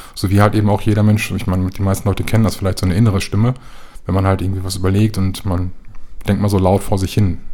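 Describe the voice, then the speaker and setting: Delivering his words at a very fast pace, a man speaks in a fairly low, monotone, flat voice. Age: 30s. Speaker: patient living with schizophrenia. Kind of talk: interview.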